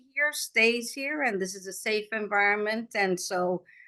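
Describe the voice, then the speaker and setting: Against a quiet background, a woman talks at a moderate pace in an unremarkable speaking voice. Her pitch is medium, with ordinary variation. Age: 60s. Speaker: agile coach and technology leader. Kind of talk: live podcast interview.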